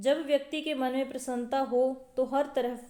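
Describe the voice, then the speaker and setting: This woman speaks at a high pitch. Her tone is dark and mellow. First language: Punjabi (speaking Hindi). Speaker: school teacher, online exam-prep tutor. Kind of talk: lecture. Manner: explanatory, repeats key points; hesitations with filler 'अ'.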